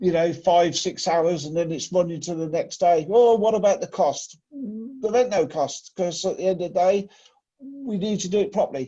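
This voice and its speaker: A man with an English accent, high-pitched, with a dark, mellow tone, ordinary pitch variation and a moderate pace. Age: 60s. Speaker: lifting and plant machinery trainer. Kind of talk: training session discussion. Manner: emphatic.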